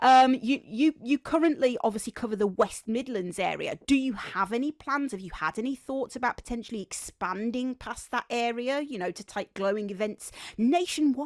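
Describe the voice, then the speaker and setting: A woman with a Birmingham accent, high-pitched, animated and with lively intonation, at a moderate pace with hardly any pauses, in a dry, close sound with no echo. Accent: Birmingham (Brummie), noticeable. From Birmingham, England. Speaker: podcast host. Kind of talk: casual interview chat. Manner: repeats and stumbles on words.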